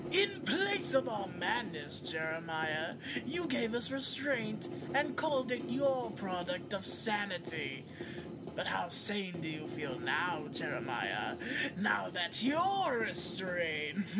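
Under loud background noise, a middle-pitched put-on character voice moves at a fairly slow pace. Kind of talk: villain monologue. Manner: mocking, theatrical, rising to shouts.

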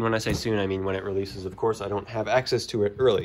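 A man at a very fast pace, with ordinary pitch variation. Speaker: YouTuber giving a room tour. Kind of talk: casual video narration. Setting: home basement. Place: home room. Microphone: phone near.

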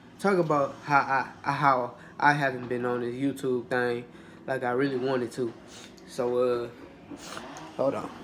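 Light background noise sits under a man speaking at a fairly slow pace, with long, frequent pauses. His intonation stays fairly even. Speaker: mukbang vlogger. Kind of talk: casual vlog chat. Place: kitchen. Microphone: phone near.

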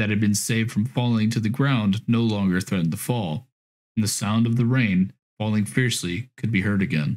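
The background is hushed and quiet. Against it comes a natural reading voice.

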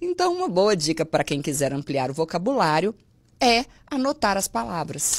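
At a moderate pace, a woman speaks with a fairly low pitch that swings very widely. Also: quiet background. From Minas Gerais, Brazil. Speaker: Portuguese language teacher. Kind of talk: casual chat. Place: studio. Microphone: studio mic.

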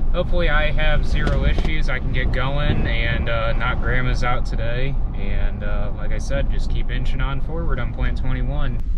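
Through loud background noise, a man talks with hardly any pauses. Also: moderate pace, dry sound with no echo. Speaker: young farmer vlogger. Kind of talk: casual vlog chat. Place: car. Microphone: headset.

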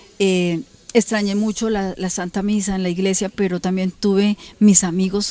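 Delivered at a moderate pace, the voice has a dark, mellow tone and monotone, flat intonation, in a dry sound with no echo. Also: woman, medium pitch for a woman. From Colombia. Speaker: local politician. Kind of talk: TV interview. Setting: her home. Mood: earnest, defending her innocence. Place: garden.

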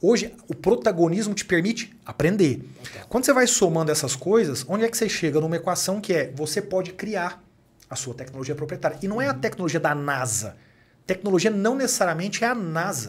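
His voice sits high for a man, and he moves along at a fairly quick clip with lively intonation. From Brazil, Minas Gerais (Uberaba); Minas Gerais, Brazil. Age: 30s. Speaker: company executive and author; podcast guest. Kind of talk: podcast interview. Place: studio. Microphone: studio mic.

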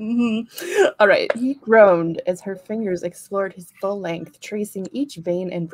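Someone does plain reading aloud here.

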